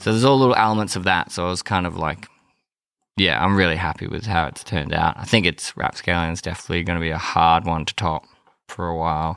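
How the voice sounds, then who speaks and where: Talking at a very fast pace, a man with an Australian accent uses a very deep, low pitch and ordinary pitch variation. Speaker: rock musician. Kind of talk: casual interview. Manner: laid-back, filler-heavy.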